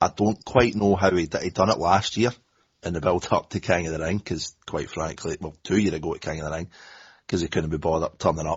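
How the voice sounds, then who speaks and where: A man speaks at a fairly quick pace in a very deep, low voice that is somewhat breathy. His pitch varies in an ordinary way. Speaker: wrestling podcast co-host. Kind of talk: casual podcast discussion.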